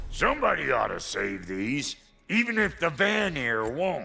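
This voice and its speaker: In a put-on character voice, the speaker goes at a moderate pace. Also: man, high pitch for a man. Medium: video game.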